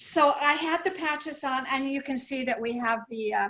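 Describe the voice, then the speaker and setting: A woman's high-pitched voice with a bright, sharp tone, ordinary pitch variation and a fairly slow pace. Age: 70s. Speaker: product testimonial giver. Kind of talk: testimony. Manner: animated.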